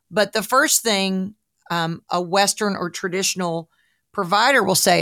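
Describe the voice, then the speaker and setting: A woman with a Southern US accent speaks at a medium pitch with ordinary pitch variation, captured in a very clean recording with a silent background and a dry, close sound with no echo. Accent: US South. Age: 60s. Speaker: podcast host, broadcaster and health coach. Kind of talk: casual interview chat.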